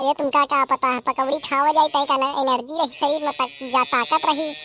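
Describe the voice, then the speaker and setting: A woman's cartoonish character voice, high-pitched and flat in a monotone, at a fairly quick pace with very even loudness and a dry, close sound with no echo. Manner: relaxed, chatty.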